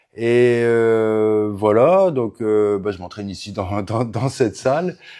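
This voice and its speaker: A man speaks at a very slow pace in a dark, mellow tone. His pitch is medium, with ordinary variation. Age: 40s. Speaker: MMA coach. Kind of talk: casual interview. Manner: hesitant, many fillers.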